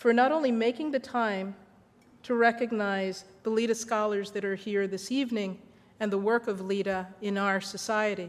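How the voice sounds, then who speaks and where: A woman with a medium pitch talks at a moderate pace, with fairly even intonation. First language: Spanish. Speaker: corporate diversity executive, award honoree. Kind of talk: acceptance speech. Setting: reception with audience. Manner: formal.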